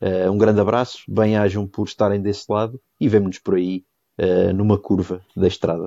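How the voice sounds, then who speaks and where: The voice has a dark, mellow tone and monotone, flat intonation. The sound is dry and close with no echo, over a quiet background. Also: man, fairly low pitch for a man, moderate pace. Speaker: podcast co-host. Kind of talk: casual chat. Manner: hesitant, many fillers and repetitions.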